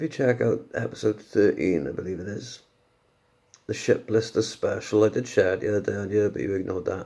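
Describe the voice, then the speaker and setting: A quiet man's voice at a fairly quick pace. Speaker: podcaster. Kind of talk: casual monologue. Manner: halting.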